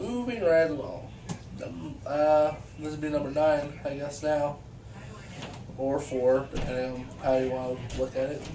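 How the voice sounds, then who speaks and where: Amid noticeable background noise and audible room echo, a man at a fairly high pitch speaks at a fairly slow pace with ordinary pitch variation and long, frequent pauses. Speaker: vlogger reviewing movies. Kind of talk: casual video review monologue. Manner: halting, many fillers and repeats.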